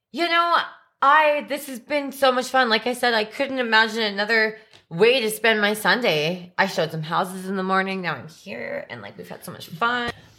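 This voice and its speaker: With a bright, sharp tone and fairly high pitch, a woman talks at a moderate pace, her intonation lively and her loudness swinging widely. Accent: western Canadian. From western Canada (Alberta, from age seven). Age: 30s. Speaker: realtor and spin instructor. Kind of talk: casual chat.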